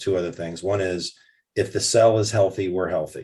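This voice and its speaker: Somewhat breathy, a man with a very deep, low pitch talks at a fairly quick pace with fairly even intonation. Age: 60s. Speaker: retired foot surgeon. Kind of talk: interview. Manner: halting.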